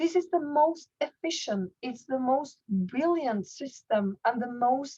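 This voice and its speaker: This woman talks fairly slowly in a high voice. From Norway. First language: Norwegian. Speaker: network marketing leader and goal-setting coach. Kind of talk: online workshop presentation. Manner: halting with frequent repetitions.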